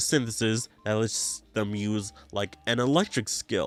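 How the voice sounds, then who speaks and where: Over music in the background, a man talks at medium pitch, his voice dry and close with no echo. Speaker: video game podcast host. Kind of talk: casual podcast commentary. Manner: halting, many fillers.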